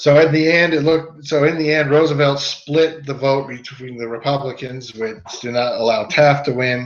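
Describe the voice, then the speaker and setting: An unremarkable speaking voice from a man, fairly high in pitch, at a moderate pace with fairly even intonation and hardly any pauses. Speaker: history teacher. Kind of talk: lecture.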